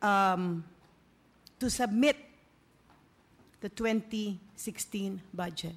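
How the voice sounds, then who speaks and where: A woman with a somewhat breathy voice speaks at a very slow pace with ordinary pitch variation. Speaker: council majority leader. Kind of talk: formal council floor remarks. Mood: measured, pointing out discrepancy. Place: hall. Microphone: podium.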